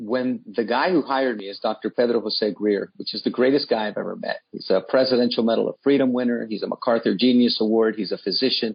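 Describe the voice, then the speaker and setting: Very fast speech with fairly even intonation, in a Washington, D.C. accent. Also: man. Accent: American, D.C. area. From Washington, D.C. (from age 7; born in Nicaragua). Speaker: nonprofit CEO. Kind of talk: radio interview.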